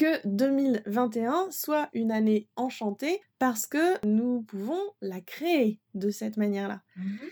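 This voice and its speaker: A woman speaks very slowly at a fairly high pitch, her dark, mellow tone playful and upbeat with lively intonation, in a dry, close sound with no echo. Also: hardly any pauses. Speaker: podcast host and osteopath. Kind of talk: interview. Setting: guest's office. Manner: playful, upbeat.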